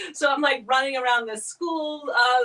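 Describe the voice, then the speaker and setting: This is a woman speaking. She has a transatlantic accent. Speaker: mime performer. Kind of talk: casual chat. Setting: studio.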